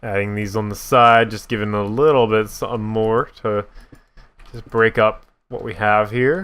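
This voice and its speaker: Fairly even in intonation, a man with a fairly low pitch speaks at a moderate pace. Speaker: gaming YouTuber. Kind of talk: casual gameplay commentary. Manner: voice cracks at times; casual, hesitant with fillers.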